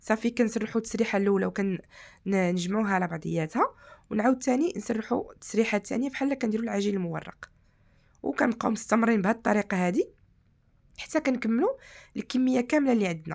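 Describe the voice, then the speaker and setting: In a Moroccan accent, a woman talks at a fairly quick pace with a fairly high pitch and ordinary pitch variation. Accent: Moroccan Arabic (Darija). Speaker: cooking channel host. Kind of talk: cooking tutorial.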